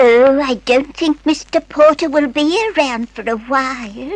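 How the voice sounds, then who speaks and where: Putting on a character voice, a woman speaks at a moderate pace and high pitch with lively intonation, the sound dry and close with no echo. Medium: old radio play. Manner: chatty, hesitant.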